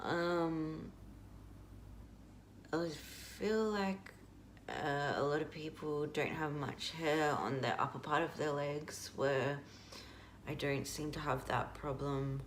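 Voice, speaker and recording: Against noticeable background noise, the speaker moves at a very slow pace with long, frequent pauses. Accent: Australian. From Australia (Melbourne). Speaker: video blogger. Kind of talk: casual vlog update. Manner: halting, many fillers.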